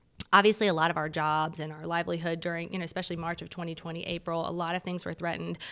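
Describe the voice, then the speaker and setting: A woman talks at a very fast pace with hardly any pauses, her pitch fairly low and her tone bright and sharp. Her intonation is monotone and flat, with vocal fry throughout. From military brat, born in Japan. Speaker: realtor. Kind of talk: casual chat.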